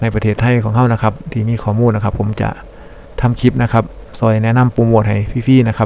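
Over noticeable background noise, a man with an Isan accent speaks at a medium pitch in a monotone, flat intonation. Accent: Isan (northeastern Thai). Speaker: YouTube channel narrator. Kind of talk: narrated video review. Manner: polite, steady with frequent filler particles.

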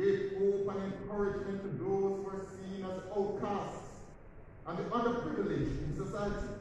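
Strong room echo and light background noise surround the speaker. He is a man with a high pitch, talking at a moderate pace. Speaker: priest. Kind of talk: sermon. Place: church. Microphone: camera far.

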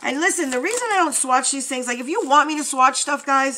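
A woman projects her high voice with very wide pitch swings over noticeable background noise. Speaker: beauty YouTuber. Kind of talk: casual unboxing vlog. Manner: chatty, rambling.

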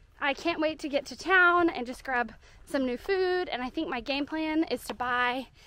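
A woman speaks in a raised, projected voice with a bright, sharp tone. Her pace is moderate, her pitch variation ordinary, and the sound dry with no echo. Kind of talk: casual vlog chat. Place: forest. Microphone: phone near.

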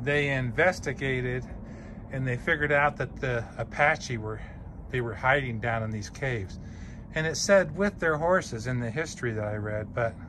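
A man talks at a moderate pace with lively intonation. Noticeable background noise runs underneath. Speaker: travel vlogger. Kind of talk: casual vlog chat. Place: open country. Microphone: phone near.

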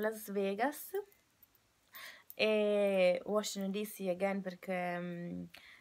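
A woman talks at a medium pitch. Her speech has long, frequent pauses. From Italy, Turin; Italy. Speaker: au pair vlogger. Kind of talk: casual vlog monologue. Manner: halting, many fillers and restarts. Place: home room. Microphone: webcam.

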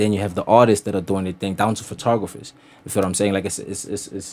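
Speaking at a very fast pace, a man keeps a fairly low pitch and monotone, flat intonation. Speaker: podcast guest. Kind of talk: interview answer. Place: studio. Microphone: studio mic.

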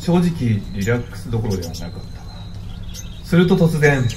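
Against noticeable background noise, a man speaks with very wide pitch swings. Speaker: storyteller, narrator in radio drama. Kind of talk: radio drama narration. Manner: calm, storytelling narration.

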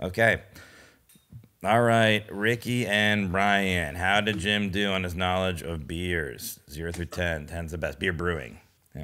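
Very deep and low in pitch yet bright and sharp in tone, a man with an American accent speaks at a fairly slow pace with ordinary pitch variation. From United States. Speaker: comedian and podcast co-host; comedian, podcast co-host. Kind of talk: casual chat. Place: home room. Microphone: studio mic.

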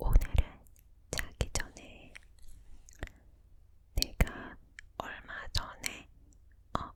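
A woman's whispering at a very slow pace, with noticeable background noise. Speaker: ASMR creator. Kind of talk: whispered ASMR book reading. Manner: whispered, soft, slow.

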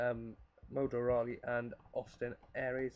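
A man speaks with medium pitch. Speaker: gaming youtuber. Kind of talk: gameplay commentary. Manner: fast.

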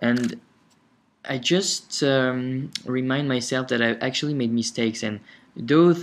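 A man with a non-native accent speaks fairly slowly with ordinary pitch variation. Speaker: software tutorial instructor. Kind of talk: screencast tutorial narration. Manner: casual, hesitant.

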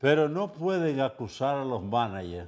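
A man talks with a Dominican accent. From Dominican Republic. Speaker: TV show host and commentator; TV show host, commentator. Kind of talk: casual talk show commentary. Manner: animated. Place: studio. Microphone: lapel.

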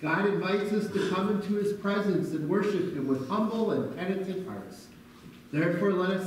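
A man's high pitch with fairly even intonation at a moderate pace, in strong room echo over light background noise. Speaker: minister leading worship. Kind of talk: liturgy. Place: church. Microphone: camera far.

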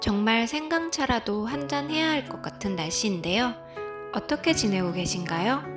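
Music plays behind a woman speaking at a fairly slow pace. Her fairly high pitch makes very wide swings. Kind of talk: friendly channel intro to listeners.

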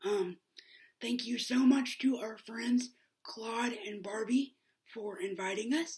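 Against a quiet background, a woman talks at a fairly slow pace in a somewhat breathy voice with ordinary pitch variation. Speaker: vlogger. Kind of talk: casual vlog outro. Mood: warm, upbeat. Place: home room. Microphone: webcam.

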